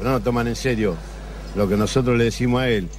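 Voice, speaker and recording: A man at a very fast pace, with audible room echo. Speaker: café regular. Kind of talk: casual chat. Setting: café.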